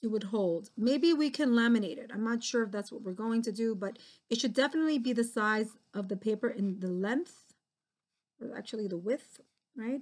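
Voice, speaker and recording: A woman with an unremarkable speaking voice talks at a moderate pace. Her pitch is fairly high, with ordinary pitch variation. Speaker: art teacher. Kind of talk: tutorial.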